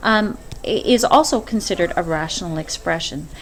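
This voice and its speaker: A woman speaks with lively intonation over noticeable background noise. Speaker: math teacher. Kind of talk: screencast lesson. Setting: screen recording. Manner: hesitant, many fillers; fast.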